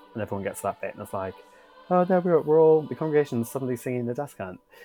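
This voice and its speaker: A man speaks with lively intonation over music in the background. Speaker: church music director; podcast host.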